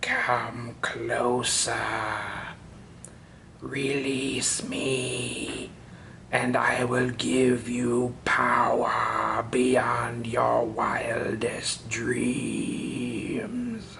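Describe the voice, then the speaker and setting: A man puts on a raspy character voice at a medium pitch. He speaks at a very slow pace. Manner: tempting, ominous.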